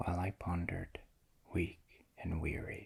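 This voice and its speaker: A man whispers at a very slow pace. His tone is gentle. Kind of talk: poetry reading, ASMR. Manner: soft-spoken, gentle.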